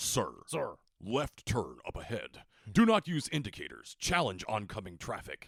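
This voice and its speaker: A man puts on a character voice with a stern tone and a fairly high pitch. He keeps a moderate pace. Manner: commanding, stern.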